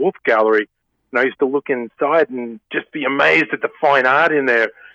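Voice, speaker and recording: A man with an Australian accent and a medium pitch talks at a very fast pace in a bright, sharp tone, with a dry, close sound and no echo. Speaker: painter. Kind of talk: interview.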